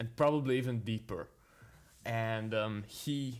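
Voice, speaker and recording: A man with a non-native accent, medium pitch, ordinary pitch variation and a fairly slow pace, on a very clean recording with a silent background. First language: not English. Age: young. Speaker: jazz pianist. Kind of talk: casual chat. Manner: halting.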